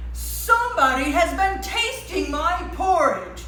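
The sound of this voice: Someone doing a put-on character voice speaks at a fairly slow pace, with slight echo and clear music in the background.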